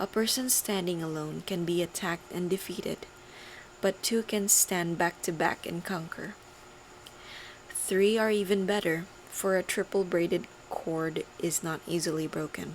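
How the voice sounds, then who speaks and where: Soft-spoken, a woman talks at a moderate pace with fairly even intonation. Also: fairly low pitch for a woman. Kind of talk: ASMR scripture reading.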